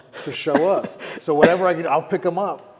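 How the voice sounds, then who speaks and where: A man's fairly even intonation comes across over noticeable background noise. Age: 40s. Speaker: fitness trainer and Muay Thai fighter. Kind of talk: casual chat.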